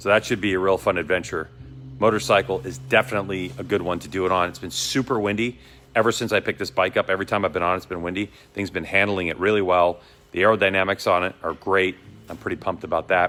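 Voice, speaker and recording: A bright, sharp tone with a Boston accent, ordinary pitch variation, and a very fast pace. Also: man, very deep, low pitch for a man. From Boston, US. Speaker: motorcycle vlogger. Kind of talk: casual vlog talk. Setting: motorcycle dealership. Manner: casual, rambling delivery.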